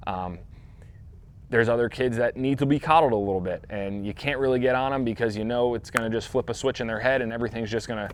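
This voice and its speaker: An energetic man at medium pitch talks at a very fast pace. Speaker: youth baseball coach hosting Q&A show. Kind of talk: live Q&A show. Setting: indoor training facility. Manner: loud, energetic.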